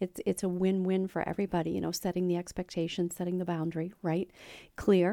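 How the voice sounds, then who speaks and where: A woman's unremarkable speaking voice at medium pitch and a fairly quick pace, in a dry, close sound with no echo. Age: 50s. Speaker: real estate agent podcast host. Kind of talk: casual interview chat.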